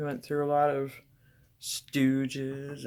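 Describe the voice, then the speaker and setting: The voice belongs to a woman. It sits very deep and low in pitch. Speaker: painter. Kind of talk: casual chat.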